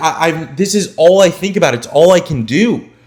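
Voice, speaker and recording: Music plays in the background as the speaker talks at a fairly slow pace. The tone is animated. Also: man. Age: 20s. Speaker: online business coach and YouTuber. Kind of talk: motivational vlog monologue. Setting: garage. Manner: animated, emphatic.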